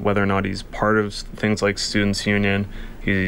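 A man speaks at a fairly low pitch. His pace is fairly quick. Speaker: high school teacher and coach. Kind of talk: radio interview. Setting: radio studio.

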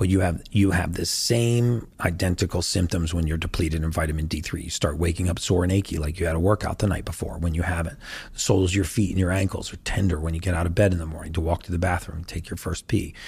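Speaking at a very fast pace with hardly any pauses, a man with a very deep, low pitch sounds somewhat breathy, his intonation fairly even. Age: 50s. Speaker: health and longevity expert. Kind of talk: interview.

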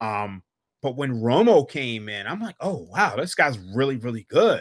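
On a very clean recording with a silent background, a man speaks fairly slowly. He has an unremarkable speaking voice, medium in pitch, with lively intonation. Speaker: sports betting analyst. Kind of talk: casual chat.

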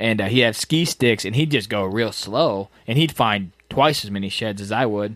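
On a very clean recording with a silent background, a man with an unremarkable speaking voice talks at a moderate pace and fairly low pitch, with ordinary pitch variation and hardly any pauses. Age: 20s. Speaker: deer hunting podcast host. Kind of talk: casual chat.

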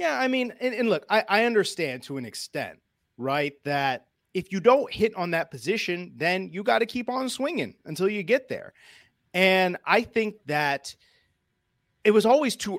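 A man with an American accent and very wide pitch swings, in a dry, close sound with no echo and a very clean recording with a silent background. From Northwest Indiana. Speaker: sports writer. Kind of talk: casual chat. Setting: live stream.

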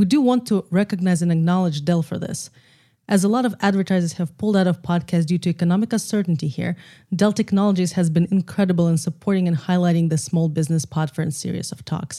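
A woman speaks very fast in a fairly low pitch, somewhat breathy. Her tone is dark and mellow, and her pitch varies in an ordinary way. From Russia, Moscow. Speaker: film and podcast producer. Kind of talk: casual conversation. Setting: remote recording via software.

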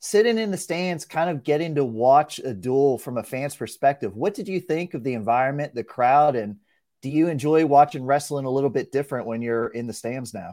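On a very clean recording with a silent background, a man with a fairly high, dark and mellow voice talks at a fairly quick pace with lively intonation and hardly any pauses. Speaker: sports reporter and podcast host. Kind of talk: casual interview chat.

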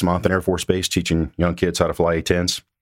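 Over a silent background on a very clean recording, a man speaks with a very deep, low pitch. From Mississippi. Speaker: retired military pilot, defense industry. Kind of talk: interview.

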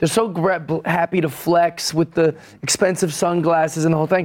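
At a moderate pace, a man talks in a plain, everyday voice. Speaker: comedian. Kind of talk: comedic panel banter.

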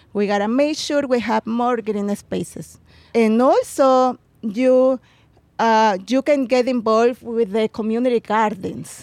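This voice has a Mexican accent and a fairly slow pace with fairly even intonation. The sound is dry and close, with no echo. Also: woman, fairly high pitch for a woman. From Mexico, Puebla. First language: Spanish. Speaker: community gardener and butterfly conservation activist. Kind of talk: interview. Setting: outdoors.

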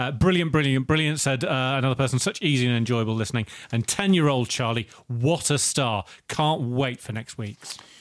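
A man with a plain, everyday voice, medium pitch, ordinary pitch variation and a fairly quick pace. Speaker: podcast co-host. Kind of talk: casual chat.

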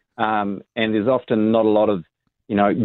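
A fairly low-pitched man with a New Zealand accent. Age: 50s. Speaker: tax specialist. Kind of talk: radio interview. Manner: hesitant, many ums.

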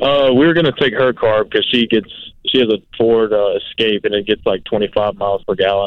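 A man has an ordinary speaking voice, moving at a moderate speed while his pitch shifts in an ordinary way. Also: medium pitch for a man. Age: 20s. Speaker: accounting student. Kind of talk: call-in question. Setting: phone call.

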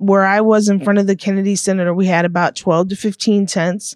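A woman speaks at a fairly quick pace in a plain, everyday voice. The background is quiet, and the sound is dry and close with no echo. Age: 30s. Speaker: formerly homeless street newspaper vendor. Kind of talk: interview.

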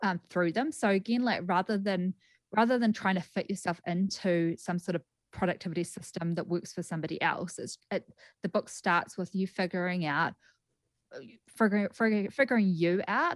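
With a New Zealand accent, a woman at medium pitch speaks at a fairly quick pace with ordinary pitch variation, in a dry, close sound with no echo. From New Zealand, Greymouth. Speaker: clinical psychologist and author. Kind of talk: radio interview. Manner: halting, with repetitions.

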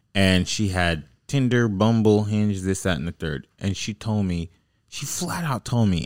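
A man speaks in a normal speaking voice, fairly low in pitch, with lively intonation. The recording is very clean with a silent background and a dry, close sound with no echo. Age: 20s. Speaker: podcast host. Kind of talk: casual chat. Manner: laughs often.

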